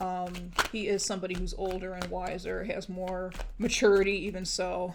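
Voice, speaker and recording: A woman's monotone, flat delivery at a moderate pace, with audible room echo. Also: medium pitch for a woman. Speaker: tarot reader. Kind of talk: tarot reading monologue. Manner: hesitant, many fillers.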